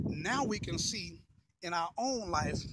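Over noticeable background noise, a man speaks in a high, bright, sharp voice with lively intonation and a dry sound with no echo. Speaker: pastor. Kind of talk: sermon-style motivational talk to camera. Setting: outdoors, walking. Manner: casual, conversational, repetitive phrasing. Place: street. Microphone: phone near.

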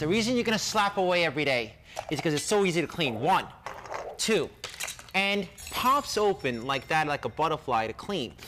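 Energetic in tone, the voice moves at a fairly quick pace with very wide pitch swings over noticeable background noise. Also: man, high pitch for a man. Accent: Boston. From Boston area. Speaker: TV pitchman. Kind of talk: infomercial sales pitch. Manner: fast, energetic. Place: kitchen. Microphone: headset.

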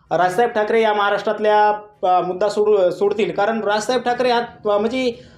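This man's voice sits high in pitch. Room echo is audible. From Jalna district, Marathwada, Maharashtra, India; Maharashtra. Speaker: medical student; student giving statement to news channel. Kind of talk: interview. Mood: earnest, politically passionate.

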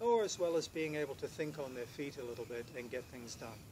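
A man speaks at a fairly quick pace, his voice somewhat breathy. Noticeable background noise runs underneath. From Britain. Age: 50s. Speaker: professional house sitter. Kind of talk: self-introduction to camera. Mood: calm, friendly, earnest. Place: garden.

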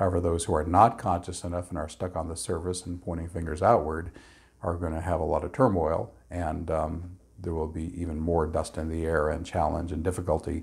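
Against a quiet background, a man speaks at a fairly quick pace in a very deep, low, somewhat breathy voice with monotone, flat intonation. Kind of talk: explanatory talk to camera. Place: home room.

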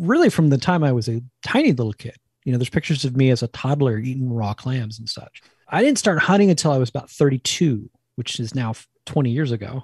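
With a dry, close sound and no echo, a man speaks fairly quickly at a medium pitch, somewhat breathy, with ordinary pitch variation. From New Jersey, near New York. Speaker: cookbook author and wild food cook. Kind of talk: interview.

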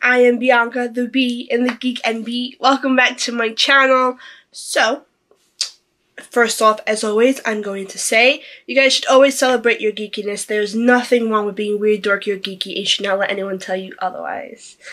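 A woman's bright, sharp voice at a moderate pace, with fairly even intonation. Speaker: vlogger. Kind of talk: casual vlog chat. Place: home room. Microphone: phone near.

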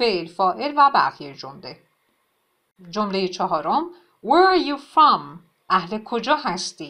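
Her pitch swings very widely, and her tone is bright and sharp. The woman keeps a moderate pace against a quiet background. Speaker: English teacher. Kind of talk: tutorial.

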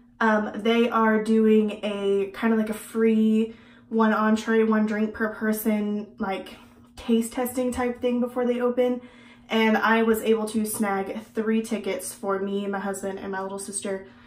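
A woman talks at a fairly slow pace in a monotone, flat intonation, with audible room echo around her. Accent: American. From Texas. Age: 20s. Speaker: beauty vlogger. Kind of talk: casual vlog and makeup tutorial; casual vlog chat. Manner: casual, with many fillers. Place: home room.

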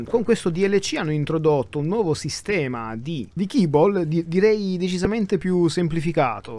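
Lively intonation marks this man's speech, which sits at a high pitch. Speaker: gaming YouTuber. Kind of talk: gameplay commentary. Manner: soft-spoken; halting.

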